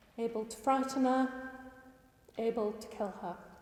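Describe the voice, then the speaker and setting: Over noticeable background noise, a woman talks at a fairly slow pace with a fairly high pitch. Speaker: campaigner. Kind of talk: presentation. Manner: passionate.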